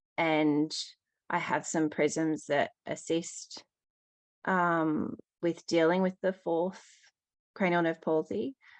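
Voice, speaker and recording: A woman in an Australian accent, fairly low-pitched, at a very slow pace with long, frequent pauses and ordinary pitch variation, in a dry, close sound with no echo over a quiet background. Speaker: caller with eye condition. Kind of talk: question to expert. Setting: call-in. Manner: hesitant, many fillers.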